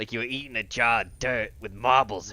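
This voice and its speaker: In a put-on character voice, a man sounds strained, gravelly and raspy at a medium pitch and fairly quick pace, on a very clean recording with a silent background. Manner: strained, eating dirt and marbles.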